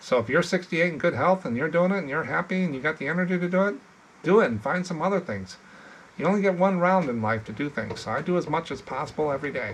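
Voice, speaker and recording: The words rush out at a very fast pace, their intonation lively. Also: man, high pitch for a man. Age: 60s. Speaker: postcard reseller and YouTuber. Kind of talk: casual chat. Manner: casual, halting.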